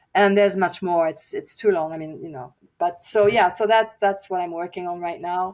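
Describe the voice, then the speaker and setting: A woman with a non-native accent at a moderate pace, ordinary pitch variation and big swings in loudness, on a very clean recording with a silent background. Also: medium pitch for a woman. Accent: foreign accent in English. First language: German and French. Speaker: author and singer. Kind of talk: podcast interview. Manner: halting, many fillers and restarts.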